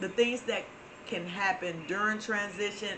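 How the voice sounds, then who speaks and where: A woman with a Southern US accent speaks at a fairly slow pace with fairly even intonation. Audible room echo and noticeable background noise surround her voice. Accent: Florida southern. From Florida. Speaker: spiritual channel host. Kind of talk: inspirational talk. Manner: casual, with many fillers.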